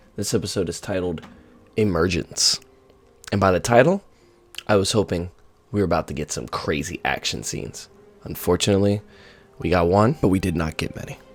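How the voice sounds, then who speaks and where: Over background music, a man with a very deep, low pitch speaks at a fairly quick pace with ordinary pitch variation and long, frequent pauses. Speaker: YouTube TV show reviewer. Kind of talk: casual spoken review. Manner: hesitant, many fillers.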